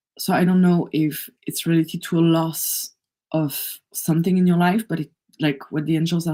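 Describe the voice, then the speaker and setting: Fairly low and flat, a woman's voice with a dark, mellow tone moves at a fairly slow pace in a monotone. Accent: French. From France. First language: French. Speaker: energy healer. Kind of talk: live oracle card reading. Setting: livestream.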